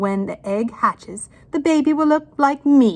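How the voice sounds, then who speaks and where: A woman speaks in a put-on character voice. Her pitch is high, and her pace is moderate. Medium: read story. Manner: bossy, indignant.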